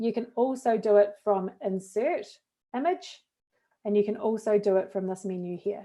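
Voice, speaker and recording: Here a woman speaks with a New Zealand accent. Her tone is dark and mellow, with ordinary pitch variation. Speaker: education technology trainer, former teacher. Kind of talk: tutorial.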